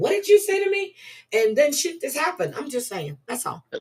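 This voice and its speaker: Her tone is animated, with very wide pitch swings. The woman talks at a fairly quick pace. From Louisiana. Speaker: live streamer. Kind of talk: casual chat. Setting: livestream.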